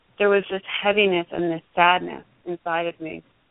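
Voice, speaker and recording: With a normal speaking voice, a woman keeps a fairly quick pace and fairly even intonation. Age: 40s. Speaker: yoga teacher and former actress. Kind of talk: interview.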